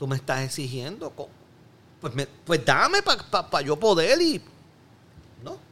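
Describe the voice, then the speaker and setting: Lively in intonation and bright with a sharp tone, the voice moves at a fairly slow pace with long, frequent pauses. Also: man, fairly high pitch for a man. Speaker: Olympic skeet shooter. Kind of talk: casual chat.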